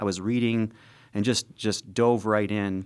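With an unremarkable speaking voice, a man talks at a moderate pace in a fairly low pitch with fairly even intonation, in a very clean recording with a silent background. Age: 50s. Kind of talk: testimony.

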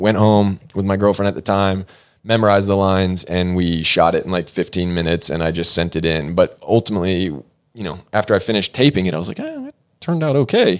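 A man with a very deep, low voice and an American accent talks very fast on a very clean recording with a silent background. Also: ordinary pitch variation. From US South, Georgia (Norcross, near Atlanta). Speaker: actor and producer. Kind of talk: casual interview chat. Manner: talkative, rambling with tangents.

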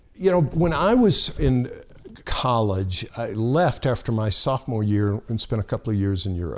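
A man speaks with an American accent. His medium-pitched voice has lively intonation. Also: moderate pace. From US South, lower Alabama (Monroeville). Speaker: pastor. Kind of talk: casual chat. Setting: studio.

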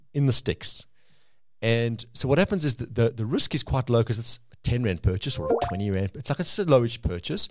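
Somewhat breathy, a man talks at a fairly quick pace with lively intonation on a very clean recording with a silent background. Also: medium pitch for a man. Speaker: podcast guest. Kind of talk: casual chat.

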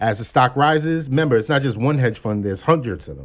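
Here is a plain, everyday voice: a man with an American accent speaking at a medium pitch with ordinary pitch variation. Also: very clean recording, silent background. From Brooklyn, New York (Flatbush). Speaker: executive recruiter and stock-trading enthusiast. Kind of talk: casual chat. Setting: studio.

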